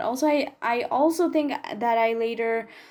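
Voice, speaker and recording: A woman's high-pitched voice with a dark, mellow tone and a non-native accent. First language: not English. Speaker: gaming YouTuber. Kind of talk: voiceover commentary. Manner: casual, chatty.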